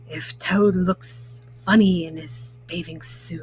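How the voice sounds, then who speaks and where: In a put-on character voice, a woman speaks raspy and very deep, low-pitched at a very slow pace, with clear music in the background. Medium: read story.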